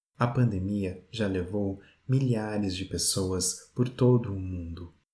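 Audible room echo surrounds this man's voice. His tone is dark and mellow, and somewhat breathy. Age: 30s. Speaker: podcast host. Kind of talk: scripted narration.

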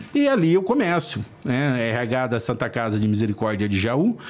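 A man with an ordinary speaking voice and a medium pitch talks at a fairly slow pace. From Brazil, northern Paraná. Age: 50s. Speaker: lawyer. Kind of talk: interview.

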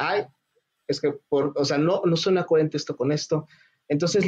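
The man talks in an ordinary speaking voice, pitched fairly high, with ordinary pitch variation. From Mexico (Morelos). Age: 30s. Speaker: mechatronics engineer and robotics teacher. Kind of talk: casual interview chat.

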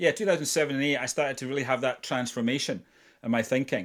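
A man speaks at a medium pitch with a Scottish accent and ordinary pitch variation. The recording is very clean, with a silent background. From Scotland. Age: 50s. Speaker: retired police officer, violence prevention trainer. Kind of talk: interview conversation. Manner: halting, frequent repetitions.

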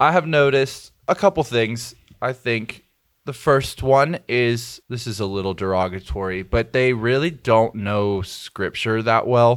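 A man with a normal speaking voice talks at a medium pitch and a fairly slow pace, with ordinary pitch variation. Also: very clean recording, silent background. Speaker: youth pastor. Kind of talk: casual interview.

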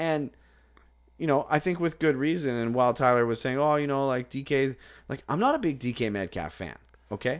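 A man speaks at a fairly quick pace in a fairly high pitch, with ordinary pitch variation and an American accent. It is a plain, everyday voice. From Boston, US. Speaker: fantasy football podcast host. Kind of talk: casual chat.

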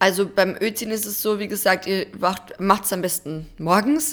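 A woman speaks in a normal speaking voice at a moderate pace. Her pitch is medium, with ordinary variation. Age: 20s. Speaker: podcast co-host. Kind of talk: casual chat.

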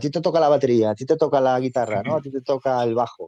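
Over a quiet background, a man with a medium pitch and a dark, mellow tone speaks very fast, the sound dry and close with no echo. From Spain, Andalusia (Seville province). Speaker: singer-songwriter. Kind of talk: interview. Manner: halting, with frequent word repetitions.

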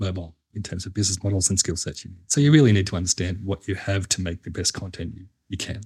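A somewhat breathy man with an Australian accent, very deep, low pitch and fairly even intonation, at a very fast pace in a very clean recording with a silent background. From Australia, New South Wales. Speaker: games industry executive. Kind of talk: interview.

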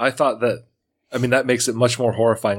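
The speaker has an American accent and a monotone, flat intonation at a fairly quick pace. The recording is very clean, with a silent background. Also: man. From central Indiana. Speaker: podcast co-host. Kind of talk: casual chat. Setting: studio.

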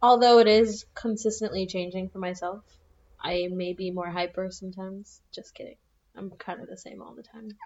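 A woman of medium pitch speaks with an American accent at a moderate pace, her intonation fairly even but her loudness swinging widely. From South Florida. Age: 20s. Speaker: podcast host. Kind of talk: casual chat.

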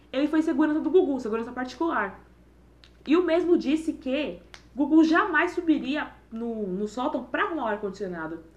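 A woman speaks at a fairly quick pace, with a high pitch and lively intonation. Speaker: podcast co-host. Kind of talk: casual chat.

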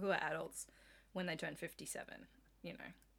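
Speaking very fast in an Australian accent, a woman uses a medium pitch with vocal fry. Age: 30s. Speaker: podcast co-host, visual artist. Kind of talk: casual chat.

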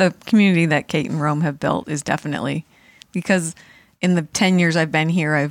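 In a very clean recording with a silent background and a dry, close sound with no echo, a woman with an American accent talks at a fairly quick pace in a plain, everyday voice, her pitch fairly low and her intonation fairly even. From western Massachusetts. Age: 50s. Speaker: audiologist in sales. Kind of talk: casual chat.

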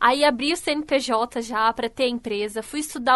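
Her pitch sits high. The woman's intonation is lively throughout. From Santa Catarina, Brazil (Canelinha, north of the state). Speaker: style consultant. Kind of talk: radio interview.

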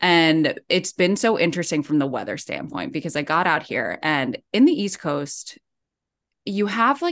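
Speaking at a fairly slow pace against a quiet background, a woman with an American accent uses a fairly low pitch that swings very widely. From South Jersey, US. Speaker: breathwork facilitator and coach. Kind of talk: casual interview.

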